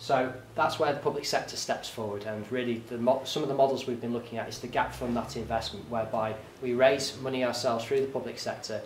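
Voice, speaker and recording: A man speaks very fast in a flat monotone, with audible room echo and light background noise. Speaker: public presenter. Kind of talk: presentation talk. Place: meeting room. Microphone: camera far.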